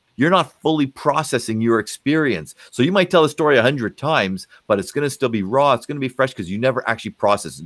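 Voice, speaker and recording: A man's medium-pitched, animated voice with vocal fry at a very fast pace, dry and close with no echo, on a very clean recording with a silent background. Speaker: psychologist. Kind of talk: interview.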